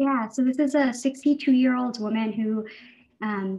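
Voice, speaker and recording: A woman speaks with a somewhat breathy voice. Her intonation stays fairly even. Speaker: physician presenting a case. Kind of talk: case presentation. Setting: video call. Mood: calm, professional. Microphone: webcam.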